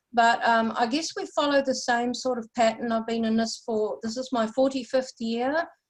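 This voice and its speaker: In a New Zealand accent, a high-pitched woman speaks at a moderate pace with fairly even intonation and hardly any pauses. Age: 60s. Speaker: UFO researcher and experiencer. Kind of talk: interview.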